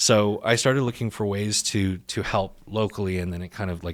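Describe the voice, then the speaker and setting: A man with an American accent speaks with fairly even intonation on a very clean recording with a silent background. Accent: can switch a Texan accent on and off. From Texas. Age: 30s. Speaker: startup founder and CEO. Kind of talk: podcast interview. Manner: casual, many fillers.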